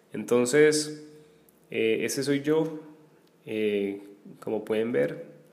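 Pausing long and often, a man of medium pitch speaks at a very slow pace amid audible room echo. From Colombia, Armenia (Quindío). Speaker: teacher and podcaster. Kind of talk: casual solo monologue. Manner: hesitant, many filler pauses.

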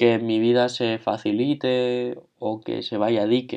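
Very slowly and in a flat monotone, a man speaks at medium pitch with a dark, mellow tone. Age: 20s. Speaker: podcaster. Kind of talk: reflective monologue. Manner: halting.

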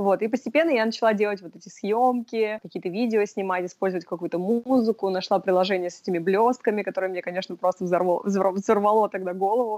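Barely pausing, a woman of medium pitch races along at a very fast pace with fairly even intonation and big swings in loudness, captured in a dry, close sound with no echo. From Russia (Sevastopol, Moscow). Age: 20s. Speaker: boutique sales worker. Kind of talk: interview.

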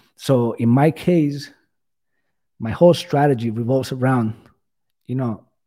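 This man has a Spanish accent, a medium pitch and a dark, mellow tone. He speaks at a fairly slow pace with fairly even intonation, on a very clean recording with a silent background. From Cuba. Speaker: bitcoin enthusiast guest. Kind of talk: casual interview chat.

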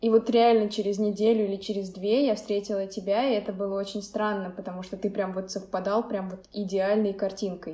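A woman with a medium pitch talks at a fairly quick pace with hardly any pauses and a monotone, flat intonation. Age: 20s. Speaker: painter and blogger. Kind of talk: casual chat.

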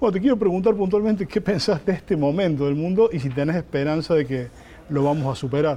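A man with a fairly high pitch races along very fast, his intonation lively. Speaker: journalist interviewer. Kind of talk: interview.

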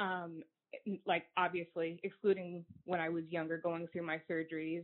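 A woman in an American accent talks at a moderate pace, her pitch fairly low and her intonation monotone and flat. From upstate New York. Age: 20s. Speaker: congenital heart disease patient advocate. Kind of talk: interview.

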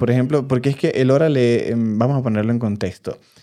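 This man speaks at a medium pitch with ordinary pitch variation. His tone is dark and mellow. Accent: strong Venezuelan. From Venezuela. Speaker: podcast co-host. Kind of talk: casual chat. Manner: loud, forceful.

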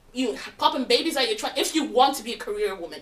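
Very fast speech over noticeable background noise. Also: woman. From London. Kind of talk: casual group chat.

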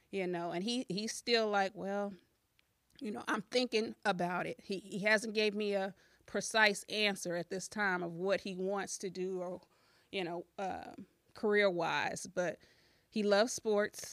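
A woman with a plain, everyday voice speaks at a fairly slow pace with a medium pitch and fairly even intonation, in a dry, close sound with no echo and a very clean recording with a silent background. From US Midwest, southern Illinois. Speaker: school board candidate and social worker. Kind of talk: casual interview.

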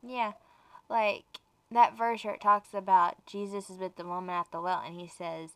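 At a moderate pace, a woman talks with an unremarkable speaking voice and fairly even intonation. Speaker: co-host and girlfriend of host. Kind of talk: casual devotional podcast chat.

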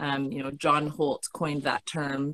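A woman with a Canadian accent, a very deep, low pitch, a moderate pace, and a dry, close sound with no echo. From Canada. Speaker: educational researcher. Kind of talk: webinar presentation and Q&A. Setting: video call webinar.

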